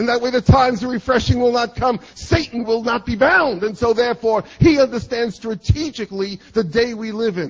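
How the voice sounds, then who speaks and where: With an American accent, a man speaks in an extremely high voice, showing ordinary pitch variation and hardly any pauses. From New York City. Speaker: preacher. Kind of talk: sermon. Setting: church.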